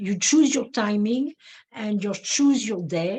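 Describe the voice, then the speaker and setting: A woman with a non-native accent, fairly high in pitch and somewhat breathy, with a dark, mellow tone and a fairly slow pace. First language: not English. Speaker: neurofeedback practitioner. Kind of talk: webinar presentation. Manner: halting, many fillers.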